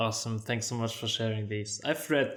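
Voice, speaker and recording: Speaking fairly quickly at a medium pitch, a man with a slight non-native accent keeps a monotone, flat intonation. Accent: non-native English, mild. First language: German. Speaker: podcast host. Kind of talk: interview; scripted outro.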